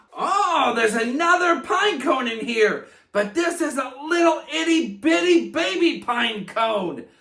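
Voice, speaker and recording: In a raised, projected, cartoonish character voice of extremely high pitch, a man speaks at a fairly slow pace with hardly any pauses. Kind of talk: kids' educational presentation. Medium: puppet. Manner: upbeat.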